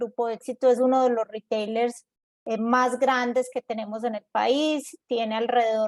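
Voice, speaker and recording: A woman talks at a fairly slow pace in a Medellín accent, her pitch fairly high. Her intonation is flat and monotone, and the sound is dry and close with no echo. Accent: Medellín (paisa). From Colombia, Medellín. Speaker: corporate innovation executive. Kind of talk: panel discussion.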